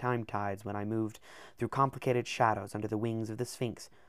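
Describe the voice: The speaker does plain reading aloud, keeping the intonation fairly even.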